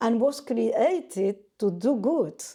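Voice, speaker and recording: A woman with a non-native accent speaks in a dark, mellow tone with lively intonation. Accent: non-native English, self-described as weak. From Argentina. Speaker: painter. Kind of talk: interview. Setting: artist's studio. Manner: halting.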